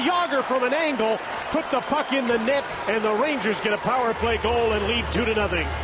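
A man talks with lively intonation over loud background noise. The sound is dry, with no echo. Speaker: play-by-play announcer. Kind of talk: live sports commentary. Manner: rapid-fire, rising excitement on goals. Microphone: headset.

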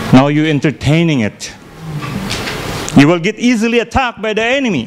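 A man talks at a moderate pace, and noticeable background noise is present throughout. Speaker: preacher. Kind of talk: sermon. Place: church. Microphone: handheld.

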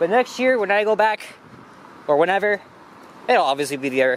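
This man has a high voice with big pitch swings. He talks at a moderate pace.

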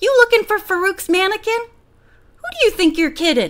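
Putting on a character voice, a woman talks at a fairly quick pace in an extremely high pitch. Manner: laughing uproariously.

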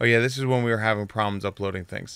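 A man speaks at a fast pace in a fairly low voice, with vocal fry, fairly even intonation, and a clear, smooth, fairly bright tone.

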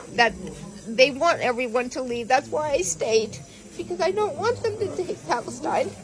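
A woman with an American accent speaks in a high pitch, with very wide pitch swings. Her pace is moderate, over light background noise. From United States. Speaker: teacher. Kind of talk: interview answer. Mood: pained, emotional, weak. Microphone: phone near.

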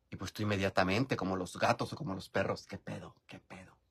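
A man with a Mexican accent talks at a fairly quick pace in a fairly low, somewhat breathy voice. His tone is animated, and the background is quiet. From rural Mexico. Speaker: YouTuber live-streaming while doing makeup. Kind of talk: casual live-stream chat. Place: home room. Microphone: phone near.

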